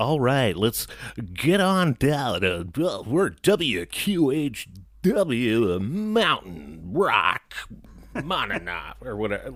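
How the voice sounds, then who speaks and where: Using a put-on character voice, a man speaks very slowly at medium pitch with very wide pitch swings. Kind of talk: announcer voice.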